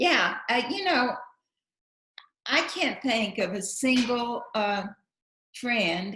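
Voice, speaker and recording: A woman speaks very slowly in a high voice, her pitch swinging very widely, with long, frequent pauses and audible room echo. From West Texas, Lubbock. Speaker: actress and writer. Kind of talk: interview at public talk. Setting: live event with online Q&A.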